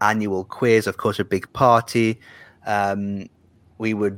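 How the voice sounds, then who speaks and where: A man's fairly low voice with a northern English accent. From northern England. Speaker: Eurovision journalist. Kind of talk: casual interview chat. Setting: video call.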